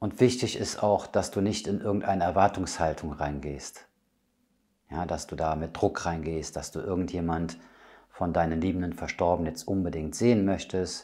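A man speaks with a very deep, low pitch and a dark, mellow tone, his pitch varying in an ordinary way. The tone is calm and soothing, and the background is quiet. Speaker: medium and spiritual healer. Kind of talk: guided meditation. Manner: calm, slow, soothing; gentle, intimate, addressing listener as du. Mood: calm, soothing. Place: home room.

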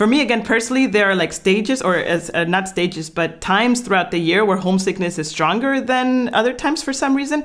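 A woman with a Spanish accent speaks very fast, with hardly any pauses and very even loudness. Her medium-pitched voice has an animated tone and lively intonation. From Guatemala. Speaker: YouTuber and expat life content creator. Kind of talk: casual conversational video. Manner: animated, laughs often.

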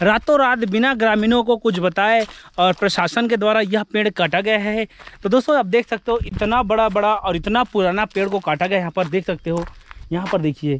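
A man's high-pitched voice, with ordinary pitch variation, comes through dry with no echo. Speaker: travel vlogger. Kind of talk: casual vlog chat. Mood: earnest, concerned appeal. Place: open country. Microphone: phone near.

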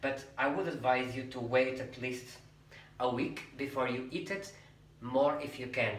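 A man with a Portuguese accent, with audible room echo. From Portugal. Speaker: cooking youtuber. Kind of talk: cooking tutorial; tutorial. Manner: chatty, frequent okay fillers. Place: kitchen.

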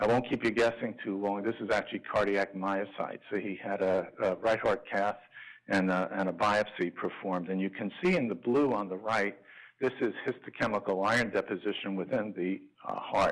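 Against a quiet background, a man with an unremarkable speaking voice talks at a moderate pace, fairly low in pitch with fairly even intonation. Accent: American. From New York. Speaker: liver transplant physician; physician lecturer. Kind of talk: lecture. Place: hall.

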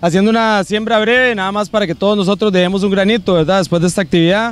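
This man speaks at a high pitch. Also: dry sound with no echo. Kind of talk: speech to a group. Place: open country. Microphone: handheld.

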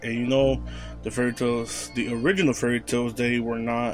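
At a moderate pace, a man talks over music in the background. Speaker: anime channel host. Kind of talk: casual vlog commentary.

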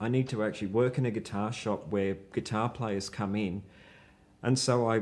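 A man is speaking. He talks with an Australian accent. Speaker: rock guitarist; guest. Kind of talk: casual chat. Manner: halting. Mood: relaxed storytelling. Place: home room. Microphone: lapel.

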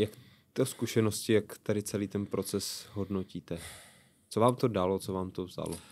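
A man with a fairly low pitch talks at a moderate pace, keeping his intonation fairly even. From Czech Republic. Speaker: podcast host. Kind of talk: interview. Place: studio. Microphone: studio mic.

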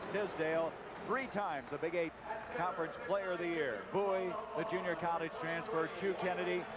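A man's voice, dry with no echo, moves at a moderate pace through loud background noise. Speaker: play-by-play sports announcer. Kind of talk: live commentary.

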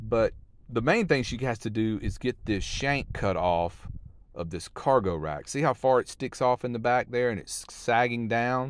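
This man talks at a moderate pace with lively intonation. The sound is dry, with no echo. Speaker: van life vlogger. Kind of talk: casual vlog chat. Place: open country. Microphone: phone near.

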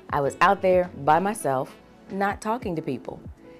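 A woman's fairly low-pitched voice at a moderate pace, with ordinary pitch variation and faint music in the background. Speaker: voice actor; Navy veteran. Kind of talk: talent introduction to camera.

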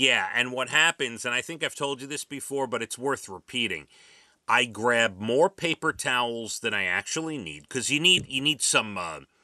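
Against a quiet background, the sound is dry with no echo. A man speaks at a moderate pace with lively intonation. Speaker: radio show host. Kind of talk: morning radio banter. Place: studio.

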